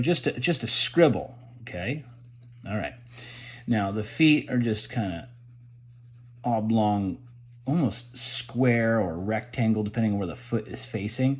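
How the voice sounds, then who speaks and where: The man's voice sits at a medium pitch. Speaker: wood carving instructor. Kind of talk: tutorial. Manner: casual.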